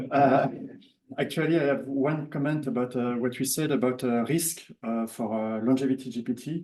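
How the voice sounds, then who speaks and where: A man's medium-pitched voice with a French accent, dark and mellow in tone, at a moderate pace with fairly even intonation. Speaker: workshop participant. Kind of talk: audience comment at workshop. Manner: halting.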